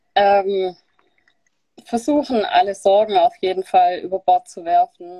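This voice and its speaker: A woman at medium pitch speaks at a very slow pace, with long, frequent pauses and big swings in loudness. The sound is dry and close, with no echo. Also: ordinary pitch variation. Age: 20s. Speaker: keto dieter sharing her experience. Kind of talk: interview on a live stream. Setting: live video stream.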